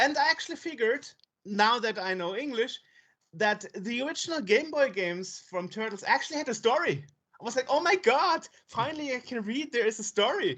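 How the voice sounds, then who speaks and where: A woman with a non-native accent, high in pitch with very wide pitch swings, at a fairly quick pace. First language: not English. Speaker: podcast host. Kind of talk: interview.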